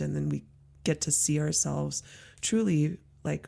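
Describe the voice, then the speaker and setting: In an American accent, a woman talks on a very clean recording where the background is silent. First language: Mandarin. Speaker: podcast host, journey work guide. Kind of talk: casual conversational interview.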